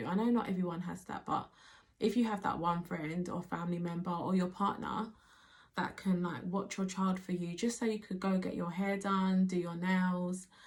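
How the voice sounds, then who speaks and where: A somewhat breathy woman's voice at medium pitch, with fairly even intonation and a moderate pace. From Nigerian background. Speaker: mother. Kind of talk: casual talk to camera.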